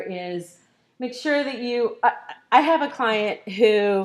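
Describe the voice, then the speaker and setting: A woman with a plain, everyday voice speaks at a fairly high pitch with lively intonation, recorded very cleanly against a silent background. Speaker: marketing consultant and workshop presenter. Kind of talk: conference workshop presentation.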